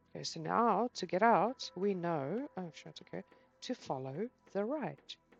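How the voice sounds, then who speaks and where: Over music in the background, a woman mumbles at a fairly slow pace and medium pitch, with very wide pitch swings and big swings in loudness. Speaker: gaming youtuber. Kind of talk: gameplay commentary. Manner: mumbling; animated.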